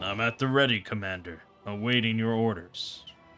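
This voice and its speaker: A man speaks in a put-on character voice at a moderate pace, his pitch in the medium range. Clear music plays in the background. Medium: game stream. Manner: gruff, bitter, terse.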